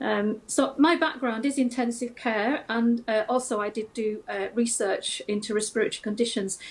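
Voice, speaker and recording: Her voice is fairly high and somewhat breathy. The woman keeps a moderate pace and fairly even intonation. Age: 60s. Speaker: retired nurse. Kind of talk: TV news interview. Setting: video call. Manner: hesitant, many fillers.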